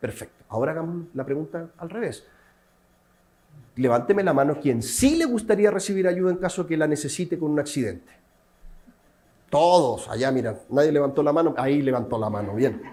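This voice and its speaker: With a dark, mellow tone and fairly high pitch, a man talks at a fairly quick pace with lively intonation and long, frequent pauses, and audible room echo. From Chile. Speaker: civil protection specialist lecturing at a museum seminar. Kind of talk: lecture. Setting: seminar room with live and remote audience. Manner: interactive, questions to the audience.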